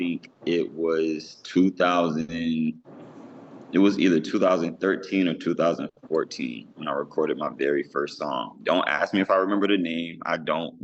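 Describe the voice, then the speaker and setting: Ordinary pitch variation accompanies speech delivered at a moderate pace. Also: man. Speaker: gospel rapper. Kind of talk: interview.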